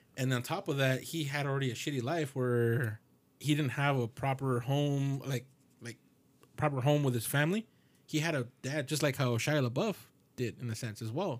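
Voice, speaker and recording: The recording is very clean and the background silent. A normal speaking voice goes at a moderate pace, its pitch varying in an ordinary way. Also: man, fairly high pitch for a man. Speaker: podcast co-host. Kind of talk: casual banter.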